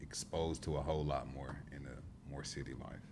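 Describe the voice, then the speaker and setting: A man speaks at a moderate pace in a Southern US accent, with vocal fry. Audible room echo surrounds his voice. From South Carolina upstate (Greenwood). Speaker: youth worker. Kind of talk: podcast discussion.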